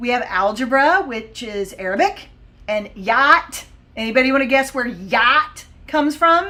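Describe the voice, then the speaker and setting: With an American accent, a woman uses a raised, projected voice, high pitch and a fairly slow pace. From Oklahoma and Texas, US. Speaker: English language teacher. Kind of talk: live-stream lesson. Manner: casual, many fillers (um, uh, like).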